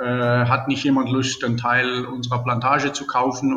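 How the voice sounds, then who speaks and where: A man with a medium-pitched voice talks at a moderate pace over noticeable background noise. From Germany, Baden-Württemberg. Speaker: entrepreneur. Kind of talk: interview.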